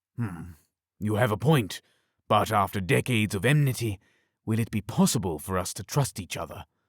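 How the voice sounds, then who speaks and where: Putting on a growling character voice, a man speaks at a fairly low pitch. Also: moderate pace, very clean recording, silent background. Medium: read story. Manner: authoritative, growling.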